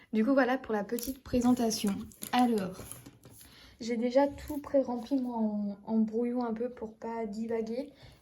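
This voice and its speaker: A woman speaks at a fairly slow pace in a fairly high pitch, with monotone, flat intonation and long, frequent pauses. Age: 20s. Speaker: budgeting vlogger. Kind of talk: casual vlog talk to camera. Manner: hesitant, many fillers.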